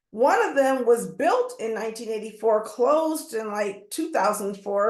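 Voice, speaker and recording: An ordinary speaking voice from a woman, moderate in pace, fairly high-pitched, with ordinary pitch variation. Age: 60s. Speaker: community wellness center founder. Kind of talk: webinar panel talk.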